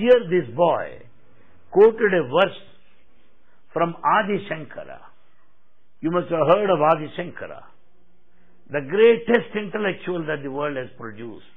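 Lively, high-pitched male speech in a Telugu accent, with long, frequent pauses. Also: moderate pace. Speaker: spiritual speaker. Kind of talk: spiritual discourse. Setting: hall with audience.

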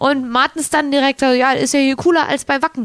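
A woman speaks at a moderate pace in a high voice with ordinary pitch variation, the sound dry and close with no echo. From Cologne, Germany. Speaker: radio co-host, resort entertainment staff. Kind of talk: casual radio chat.

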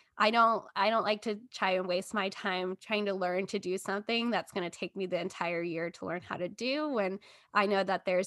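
A normal speaking voice with an American accent, fairly quick in pace with hardly any pauses and fairly even intonation, over a quiet background. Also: woman. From Texas. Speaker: marketing coordinator. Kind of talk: interview.

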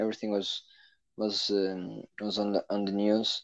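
A man at a moderate pace over a quiet background. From Portugal. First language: Portuguese. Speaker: racing driver. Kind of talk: interview. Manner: halting.

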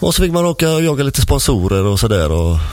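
Over noticeable background noise and audible room echo, a man talks at a very fast pace with very wide pitch swings. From Gothenburg, western Sweden. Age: 50s. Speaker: martial arts instructor. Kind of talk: casual chat. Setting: radio studio.

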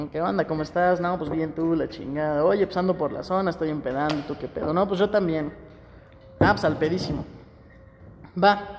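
Over noticeable background noise, a man with a high pitch talks at a moderate pace with ordinary pitch variation and long, frequent pauses. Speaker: podcast co-host. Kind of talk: casual chat.

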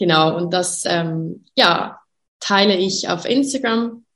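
With music in the background, a woman speaks very slowly, her pitch varying in an ordinary way. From Switzerland, Graubünden. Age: 30s. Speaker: network marketing distributor. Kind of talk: interview. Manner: hesitant, many fillers.

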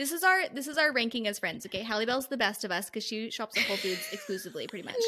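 A woman's animated, fairly high voice with lively intonation at a very fast pace, over noticeable background noise. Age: 30s. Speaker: book club podcast host. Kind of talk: casual chat.

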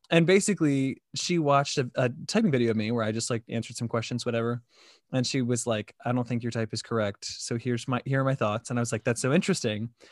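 A man speaks very fast at a medium pitch. The sound is dry and close with no echo, and the background is quiet. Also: ordinary pitch variation. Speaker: podcast host. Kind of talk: casual chat about personality typing. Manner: casual, filler-heavy.

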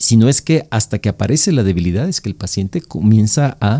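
This man's medium-pitched voice has a dark, mellow tone and a somewhat breathy quality, with lively intonation at a fairly quick pace, recorded dry and close with no echo. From El Salvador. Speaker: neurologist. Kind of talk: medical podcast interview.

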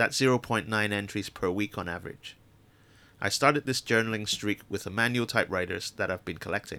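A man's fairly low voice with a bright, sharp tone, at a fairly quick pace with ordinary pitch variation, in a very clean recording with a silent background. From Hong Kong. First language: Chinese. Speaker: podcast host and communication designer. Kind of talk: reading aloud of own essay.

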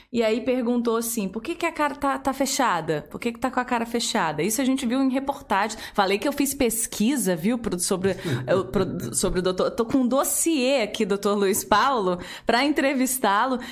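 A woman with a fairly high pitch talks at a moderate pace in an animated tone with lively intonation. Noticeable background noise sits behind her. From Curitiba, Brazil. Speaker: podcast host. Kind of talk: casual interview.

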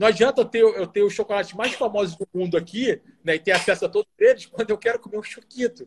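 A man talks at a very fast pace in a high pitch with ordinary pitch variation. The sound is dry and close, with no echo. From Rio Grande do Sul, Brazil (Bento Gonçalves). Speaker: military officer. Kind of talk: interview.

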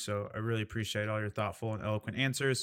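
A man with a Midwestern American accent speaks at medium pitch in a very clean recording with a silent background. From Indiana. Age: 30s. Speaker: podcast host. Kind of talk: casual chat.

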